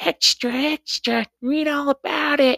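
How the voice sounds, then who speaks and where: The put-on character voice sits high in pitch and moves at a fairly slow pace. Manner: shouting announcement.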